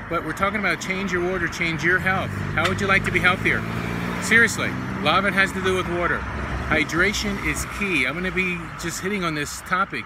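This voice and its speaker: A man is heard against loud background noise, the sound dry with no echo. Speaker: health coach. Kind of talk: casual vlog chat. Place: street. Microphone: phone near.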